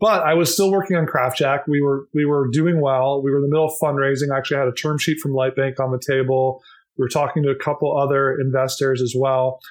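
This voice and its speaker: Against a quiet background, a man with an American accent talks very fast in a fairly high pitch, with hardly any pauses, fairly even intonation and very even loudness. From Minnesota, US Midwest. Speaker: company founder. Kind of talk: interview.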